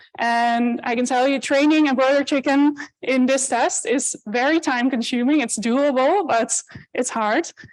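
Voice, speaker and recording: With a Dutch accent, a woman speaks at a high pitch and a fairly slow pace, with ordinary pitch variation, against a quiet background. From Netherlands. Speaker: animal welfare researcher. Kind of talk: conference talk. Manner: loud.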